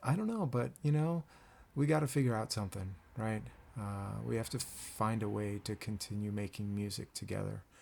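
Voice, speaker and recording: A soft-spoken man at a moderate pace, with a fairly low pitch. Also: lively intonation. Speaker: band director. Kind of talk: casual address to band; rehearsal tutorial. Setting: home at night, keyboard. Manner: quiet, soft-spoken; hesitant, many fillers.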